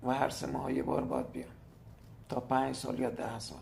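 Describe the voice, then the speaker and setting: A moderate pace with audible room echo. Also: man. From Iran, Hormozgan province. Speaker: teacher. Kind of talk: appeal for help.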